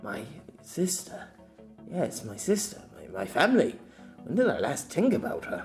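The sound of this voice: A man's put-on character voice, fairly high and slightly mellow, with very wide pitch swings at a fairly slow pace over faint background music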